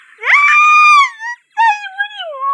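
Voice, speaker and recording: A woman shouting in a panicked tone at an extremely high pitch, with ordinary pitch variation. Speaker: beginner game streamer. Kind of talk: casual let's-play chat. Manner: panicked, screaming.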